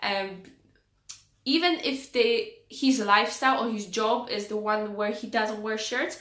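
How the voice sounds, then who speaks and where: A woman's fairly high, bright, sharp voice amid audible room echo. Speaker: style vlogger. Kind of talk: casual tutorial-style vlog. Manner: hesitant with many fillers.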